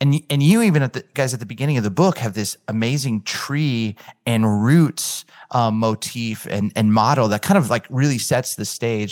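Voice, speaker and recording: Recorded dry and close with no echo, a man with a normal speaking voice talks at a medium pitch with ordinary pitch variation. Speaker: podcast host and church leader. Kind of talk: casual interview conversation.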